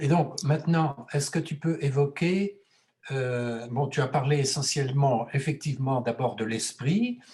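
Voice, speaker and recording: A man speaks at a fairly slow pace in a fairly high, somewhat breathy voice. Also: ordinary pitch variation. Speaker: host of a talk series. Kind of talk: host introduction and interview questions.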